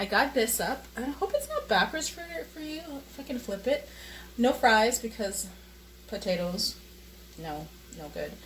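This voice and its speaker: At a moderate pace, a woman speaks with big swings in loudness and long, frequent pauses over noticeable background noise. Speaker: vlogger. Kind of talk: casual vlog monologue. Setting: at home, handheld camera while cooking. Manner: hesitant, many fillers.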